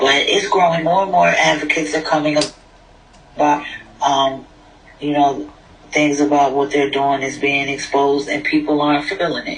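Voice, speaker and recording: A man's fairly high voice at a moderate pace, with fairly even intonation, long and frequent pauses, audible room echo and noticeable background noise. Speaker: prison reform advocate. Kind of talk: casual chat. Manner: soft-spoken.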